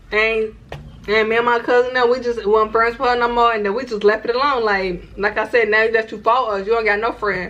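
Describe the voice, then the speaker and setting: A woman with a fairly high pitch speaks at a fairly quick pace over noticeable background noise. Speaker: YouTuber. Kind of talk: casual storytime vlog. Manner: animated.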